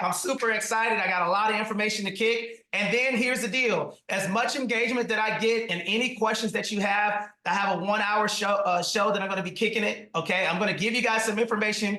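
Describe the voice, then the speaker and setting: Over noticeable background noise, a man with a Southern US accent talks at a fairly quick pace in a high pitch, his raised, projected voice carrying an energetic tone. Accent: Southern, country. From US South, Atlanta, Georgia. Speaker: real estate investor and trainer. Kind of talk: webinar training talk. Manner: loud; fast, energetic.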